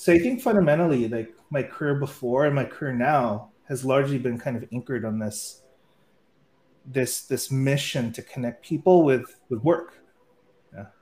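At a moderate pace and medium pitch, a man speaks with ordinary pitch variation and a somewhat breathy voice. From US, San Francisco. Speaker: startup founder and CEO. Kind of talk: interview.

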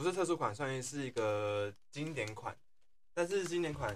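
Here is a man with an ordinary speaking voice. He talks at a moderate pace with lively intonation. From Taiwan, Tainan. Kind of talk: casual chat.

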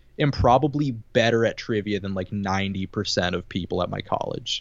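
The man has a plain, everyday voice with lively intonation. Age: 20s. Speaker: podcast host. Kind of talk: casual chat. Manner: quick-witted, joking.

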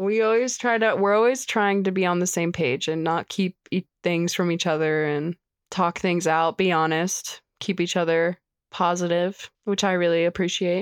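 Heard over a quiet background, a plain, everyday voice moves at a moderate pace with very even loudness and fairly even intonation. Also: woman, fairly low pitch for a woman, dry, close sound with no echo. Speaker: podcast guest. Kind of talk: casual chat.

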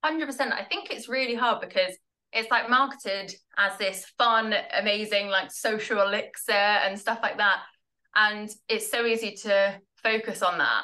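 A woman with a southern English accent speaks at a moderate pace in a fairly high voice. Her tone is bright and sharp, her intonation fairly even. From southern England, Tunbridge Wells in Kent. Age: 20s. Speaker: product marketer in recovery from alcohol. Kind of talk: casual interview chat.

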